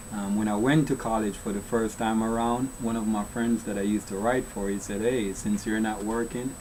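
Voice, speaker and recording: Amid noticeable background noise, a man with a Jamaican accent talks fairly quickly at a medium pitch, flat and monotone, with hardly any pauses. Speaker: children's author. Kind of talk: casual interview. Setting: studio.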